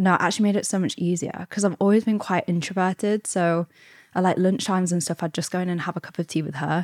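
Speaking very fast with an East Midlands accent, a woman at medium pitch keeps her intonation fairly even, on a very clean recording with a silent background and a dry, close sound with no echo. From England, Derbyshire (East Midlands). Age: 20s. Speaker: content creator. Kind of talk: interview.

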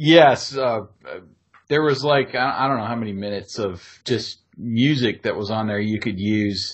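In an ordinary speaking voice, a man talks at a moderate pace and medium pitch with ordinary pitch variation over a quiet background. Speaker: podcast host and former radio DJ. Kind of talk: casual nostalgic podcast chat with friendly DJ-style host patter. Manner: warm, easygoing, conversational.

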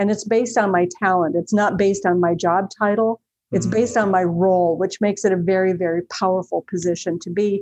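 At a fairly quick pace, a woman with an American accent talks in a medium pitch with fairly even intonation. It is a plain, everyday voice. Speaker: company president. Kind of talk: interview.

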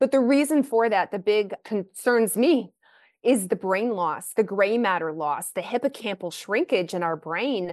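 A woman with an ordinary speaking voice and an American accent talks at a fairly high pitch with lively intonation, in a dry, close sound with no echo and a quiet background. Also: fairly slow pace. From Kentucky, US. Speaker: naturopathic physician. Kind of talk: interview.

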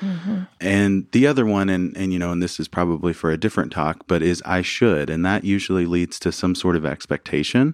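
Speaking with an American accent at a fairly quick pace with hardly any pauses, a man has a very deep, low voice with ordinary pitch variation, captured on a very clean recording with a silent background and a dry, close sound with no echo. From US South, rural Arkansas. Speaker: couples therapist. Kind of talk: interview. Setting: studio.

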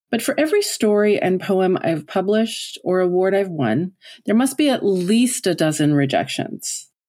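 Very wide pitch swings run through this woman's dark, mellow tone. The recording is very clean, with a silent background. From Newfoundland, Canada. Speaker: podcast host and writing coach. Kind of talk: scripted podcast monologue.

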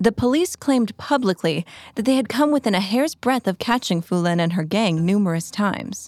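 Over music in the background, a woman uses a serious, dramatic tone and lively intonation, her loudness very even in a dry, close sound with no echo. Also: medium pitch for a woman, fairly quick pace. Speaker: true crime narrator. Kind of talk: scripted true-crime narration. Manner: serious, steady, dramatic storytelling pace.

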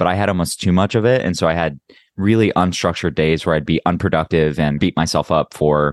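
A very deep, low male voice, fairly quick, with a dry, close sound, no echo and a quiet background. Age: 30s. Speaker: podcast co-host. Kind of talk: casual chat.

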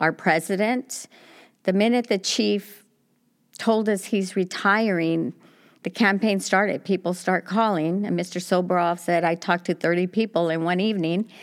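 In an American accent, a woman speaks at a moderate pace and medium pitch with fairly even intonation, recorded very cleanly against a silent background. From South Los Angeles. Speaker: police commissioner and community nonprofit director. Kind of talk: interview. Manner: halting.

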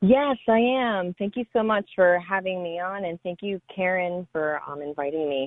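The voice is a plain, everyday voice with lively intonation. It moves at a moderate pace with hardly any pauses. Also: woman, medium pitch for a woman. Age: 20s. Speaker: mother and health coach. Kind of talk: interview.

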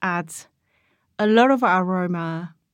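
A woman at a medium pitch with a Korean accent, talking at a very slow pace. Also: very clean recording, silent background. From South Korea (Seoul). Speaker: food writer and cookbook author. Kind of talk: casual interview.

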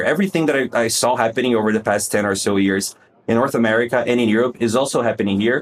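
Very fast speech from a man at medium pitch. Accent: Portuguese. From Brazil. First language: Portuguese. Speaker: conversion optimization consultant. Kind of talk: casual interview.

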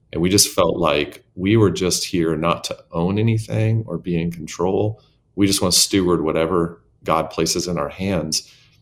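This man has a very deep, low voice and a Southwestern US accent. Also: ordinary pitch variation, moderate pace. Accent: American (Southwest). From small-town Arizona. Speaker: megachurch senior pastor. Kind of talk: interview conversation.

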